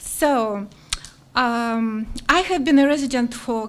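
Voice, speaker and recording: A high-pitched woman with a non-native accent, fairly even intonation and audible room echo. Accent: foreign. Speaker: teacher, applicant for town commission. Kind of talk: public comment. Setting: council meeting. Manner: slow and clear.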